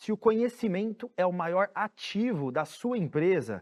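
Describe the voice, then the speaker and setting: The sound is dry and close, with no echo. A man speaks at a fairly slow pace with ordinary pitch variation. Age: 30s. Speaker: startup founder and CEO. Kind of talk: conference talk.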